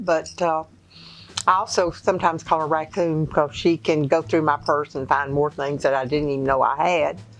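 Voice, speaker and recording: Over music in the background, a woman with a very deep, low voice speaks at a moderate pace. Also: ordinary pitch variation. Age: 80s+. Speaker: great-grandmother. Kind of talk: interview answer.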